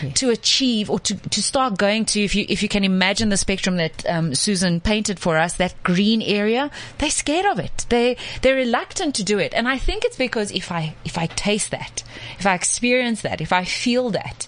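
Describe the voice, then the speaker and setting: An unremarkable speaking voice with lively intonation, at a fairly quick pace. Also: woman, medium pitch for a woman. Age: 30s. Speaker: gut health coach. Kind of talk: casual chat. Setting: studio.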